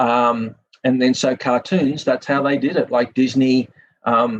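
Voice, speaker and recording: This man has a medium-pitched voice with a Sydney accent. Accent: Australian (Sydney). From Australia, Sydney. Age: 50s. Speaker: film industry professional and author. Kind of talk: podcast interview.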